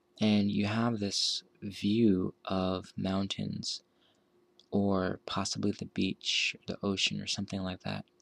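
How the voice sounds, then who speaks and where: A soft-spoken man talks at a very slow pace in a fairly low pitch with flat, monotone intonation. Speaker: architect. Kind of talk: ASMR soft-spoken narration.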